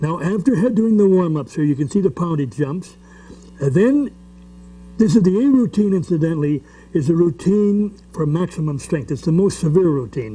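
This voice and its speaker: A man speaks with a high pitch and lively intonation. His pace is moderate. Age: 70s. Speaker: strongman and strength coach. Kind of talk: instructional video. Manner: halting, with repeats and fillers.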